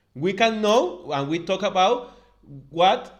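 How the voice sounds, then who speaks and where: Speaking at a fairly slow pace, a man with a non-native accent uses lively intonation. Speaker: doctor and podcast co-host. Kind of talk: casual health podcast chat. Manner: halting.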